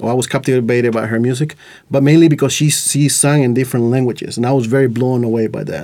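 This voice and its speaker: This man talks at a very fast pace, with a dark, mellow tone, medium pitch and fairly even intonation. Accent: Latin American. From Costa Rica. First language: Spanish. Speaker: podcast host. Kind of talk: casual chat. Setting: studio.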